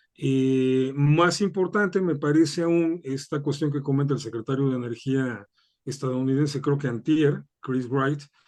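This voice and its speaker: At a fairly slow pace, a man with a Mexican accent speaks in a fairly high pitch with ordinary pitch variation. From Mexico. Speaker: political analyst. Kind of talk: interview.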